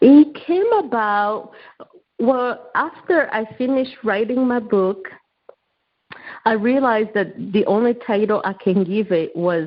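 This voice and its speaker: A woman speaks at a fairly slow pace with a non-native accent and lively intonation. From Rwanda. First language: not English. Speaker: author. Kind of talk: interview.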